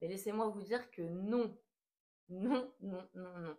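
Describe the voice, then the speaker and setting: Her tone is dark and mellow as the woman speaks at a fairly slow pace with ordinary pitch variation. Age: 20s. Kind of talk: casual talk to camera. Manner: hesitant, many filler sounds.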